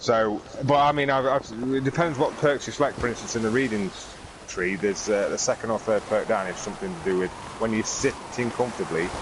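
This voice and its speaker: A man's fairly quick, lively-intoned speech over noticeable background noise. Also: medium pitch for a man. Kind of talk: casual gaming podcast talk.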